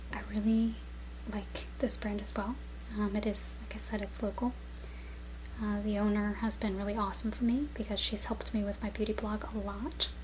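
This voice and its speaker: Against noticeable background noise, a soft-spoken woman whispers at a moderate pace. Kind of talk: ASMR product review. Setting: home, on-camera mic. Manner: soft-spoken, some whispering.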